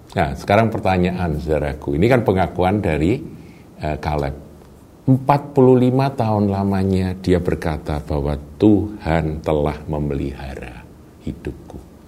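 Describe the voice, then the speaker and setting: With audible room echo, a man speaks at a very deep, low pitch and a fairly slow pace, making very wide pitch swings. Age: 60s. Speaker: pastor. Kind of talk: sermon.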